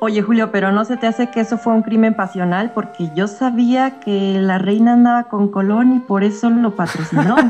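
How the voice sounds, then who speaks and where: Music plays in the background as a woman speaks at a fairly high pitch and a moderate pace. She has hardly any pauses and fairly even intonation. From Mexico. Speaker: caller. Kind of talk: casual chat.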